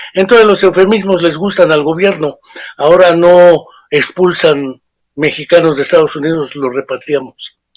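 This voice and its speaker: A man with a high pitch speaks at a moderate pace, using ordinary pitch variation. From Mexico. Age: 60s. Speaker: psychologist and author. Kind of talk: interview. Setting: remote interview.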